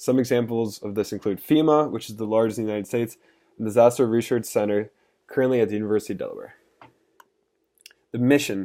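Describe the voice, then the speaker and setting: A man speaks at a very fast pace with a dark, mellow tone and big swings in loudness. Long, frequent pauses break it up in a very clean recording with a silent background. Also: medium pitch for a man, fairly even intonation. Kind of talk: class presentation. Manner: stuttering.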